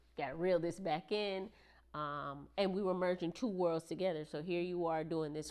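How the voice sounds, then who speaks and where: A woman speaks with a slight Jamaican accent. Her pace is fairly quick and her intonation fairly even. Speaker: military service member, married guest. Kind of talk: casual podcast interview.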